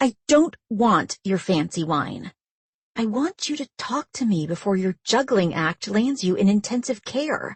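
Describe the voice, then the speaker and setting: A woman puts on a growling character voice at a medium pitch. She talks at a moderate pace with very wide swings in pitch. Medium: read story. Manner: teasing, direct.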